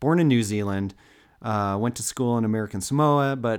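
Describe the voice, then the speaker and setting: A man with a plain, everyday voice speaks at a fairly low pitch and a moderate pace, with ordinary pitch variation. The recording is very clean, the background silent. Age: 40s. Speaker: podcast co-host. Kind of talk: casual storytelling chat.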